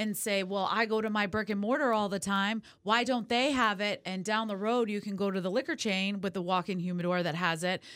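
In a very clean recording with a silent background, a woman with an American accent speaks fairly quickly in an animated tone, at medium pitch with ordinary pitch variation. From California. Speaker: cigar company territory manager. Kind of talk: casual interview chat. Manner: talkative, animated.

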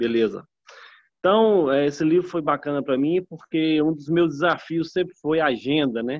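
A man's plain, everyday voice at a moderate pace with ordinary pitch variation. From northern Minas Gerais, Brazil. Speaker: network marketing distributor. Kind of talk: group video call testimony.

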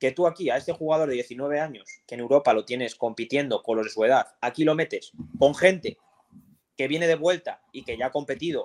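A man talks fairly quickly in an ordinary speaking voice at a fairly high pitch, with big swings in loudness. The sound is dry and close with no echo. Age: 20s. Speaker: professional footballer. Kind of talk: casual chat.

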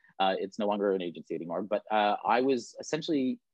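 A man speaks in a Canadian accent at a fairly quick pace. His pitch makes very wide swings. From Canada, Toronto. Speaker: talent agent. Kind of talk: casual chat.

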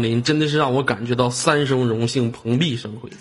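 With an animated tone and ordinary pitch variation, the speaker keeps a moderate pace against noticeable background noise. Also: man. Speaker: live-stream host. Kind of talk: live-stream chat with viewers.

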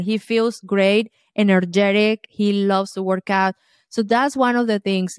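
A woman with a Colombian accent speaks at a medium pitch and a fairly slow pace with fairly even intonation. The recording is very clean, dry and close, with no echo and a silent background. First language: Spanish. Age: 50s.

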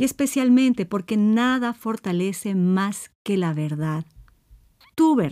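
Speaking at a very slow pace, a woman uses a dark, mellow tone at medium pitch with lively intonation, on a very clean recording with a silent background. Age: 50s. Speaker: psychologist and podcast host. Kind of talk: solo podcast monologue on self-esteem.

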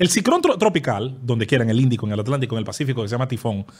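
A man speaks at a very fast pace. Vocal fry runs through his voice. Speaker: podcast guest. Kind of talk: casual chat.

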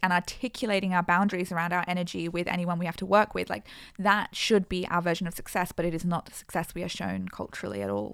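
With an Australian accent, a woman with a fairly low pitch speaks very fast in a very clean recording with a silent background. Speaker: podcast co-host. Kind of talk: casual chat.

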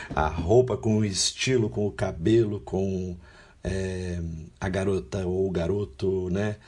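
A man with a fairly low pitch talks at a very slow pace in a somewhat breathy voice. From São Paulo state, Brazil (Guarulhos), then Londrina. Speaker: international volunteer, law graduate. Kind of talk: interview conversation.

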